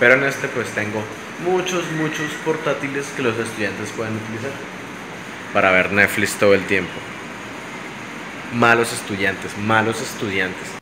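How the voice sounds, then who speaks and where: In a room with audible echo and noticeable background noise, a man speaks with lively intonation and long, frequent pauses. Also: medium pitch for a man, moderate pace. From Colombia, Bucaramanga, Santander. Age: 20s. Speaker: YouTuber and English teacher. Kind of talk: casual vlog talk to camera.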